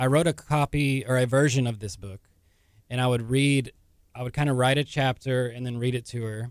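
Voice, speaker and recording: In an unremarkable speaking voice, a man with an American accent talks at a fairly quick pace, his medium pitch following a fairly even intonation. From Texas. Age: 30s. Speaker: novelist and physical therapist assistant. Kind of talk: radio interview. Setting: radio studio.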